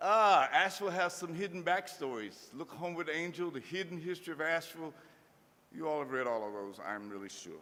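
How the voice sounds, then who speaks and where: A man with an Appalachian accent and a high pitch talks at a very fast pace in a bright, sharp tone with very wide pitch swings. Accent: Appalachian US Southern. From Kentucky (Harlan County). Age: 70s. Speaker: speaker. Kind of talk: lecture.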